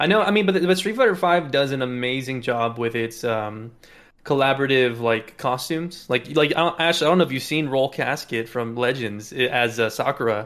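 With lively intonation, a man with a normal speaking voice talks at a moderate pace and medium pitch. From South Texas, near the Mexican border. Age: 30s. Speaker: Twitch streamer and fighting game player. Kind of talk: casual chat.

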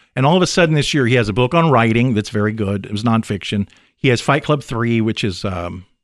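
A man with an unremarkable speaking voice, medium pitch, ordinary pitch variation and a fairly quick pace, in a very clean recording with a silent background. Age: 40s. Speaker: author and screenwriter. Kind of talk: casual chat. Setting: studio.

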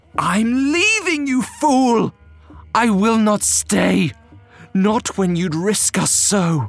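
Over faint music in the background, a man in a put-on character voice speaks at a very slow pace and a high pitch, with vocal fry and lively intonation.

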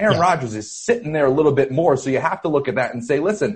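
A somewhat breathy man's voice with lively intonation and an American accent. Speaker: sports writer. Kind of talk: casual chat.

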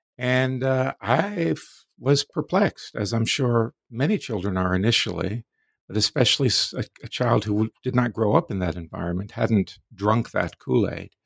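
Here a man with an American accent uses a plain, everyday voice at medium pitch and a moderate pace. His intonation is lively, he hardly pauses, and the recording is very clean with a silent background. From US South, Florida. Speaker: philosophy professor. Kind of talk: interview.

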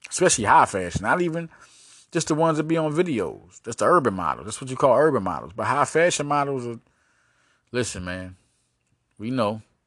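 An animated man at a medium pitch, with very wide pitch swings, big swings in loudness, a fairly quick pace and long, frequent pauses against a quiet background. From Arkansas. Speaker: sports podcast host. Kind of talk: casual sports commentary monologue.

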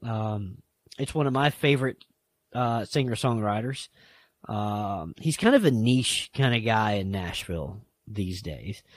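In a very clean recording with a silent background, a man with an American accent speaks at a fairly slow pace, his pitch fairly low with ordinary variation. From US South (Appalachian roots, South Carolina). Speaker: podcast host. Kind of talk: casual chat.

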